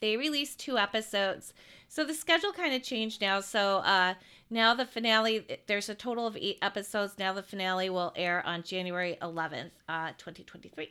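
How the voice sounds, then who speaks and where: In an unremarkable speaking voice, the speaker talks at a fairly quick pace with lively intonation. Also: woman, medium pitch for a woman, very clean recording, silent background. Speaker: podcast co-host. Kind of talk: casual podcast chat about entertainment news.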